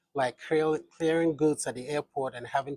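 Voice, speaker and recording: A man talks in a somewhat breathy voice with fairly even intonation. The sound is dry and close, with no echo. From Ghana, Western Region. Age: 60s. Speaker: businessman. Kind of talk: interview.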